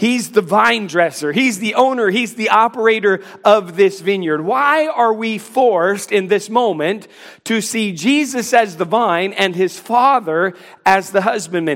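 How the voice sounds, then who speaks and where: This man has a high pitch. He speaks at a fairly slow pace. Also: ordinary pitch variation. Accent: American. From North Carolina. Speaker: pastor. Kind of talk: sermon. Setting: church.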